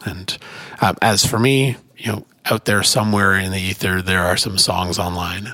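A man's fairly low voice with an American accent, fairly even intonation and a moderate pace. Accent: Canadian, noticeable to Midwesterners. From Canada. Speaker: executive director of a folk music organization, musician. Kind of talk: interview conversation. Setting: conference room with street noise.

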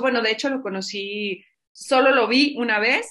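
A woman speaks at a fairly slow pace in a Mexican accent. Her pitch is fairly high, with ordinary variation. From Mexico, Zacatecas. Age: 50s. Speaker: entrepreneur and podcaster. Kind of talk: casual interview chat.

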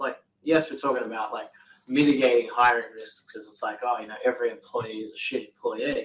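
Talking at a fairly quick pace in an Australian accent, a man makes big swings in loudness. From Australia, New South Wales then Queensland. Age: 30s. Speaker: painting business owner, podcast co-host. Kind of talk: casual chat.

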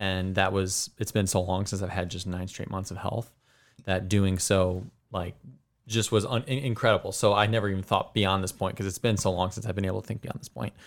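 A man with an unremarkable speaking voice, fairly low pitch and fairly even intonation at a fairly quick pace, on a very clean recording with a silent background. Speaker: runner. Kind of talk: casual chat. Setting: studio.

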